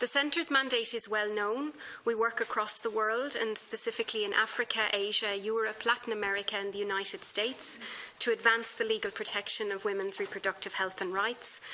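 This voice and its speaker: A woman with an Irish accent, fairly high in pitch and fairly quick in pace. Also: fairly even intonation. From Ireland. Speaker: human rights lawyer, expert witness. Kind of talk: formal testimony to parliamentary committee. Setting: parliamentary committee hearing. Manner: formal.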